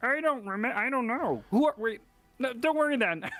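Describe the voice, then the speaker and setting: A female-sounding, put-on character voice, high in pitch, at a moderate pace. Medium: actual play. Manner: blunt, scattered.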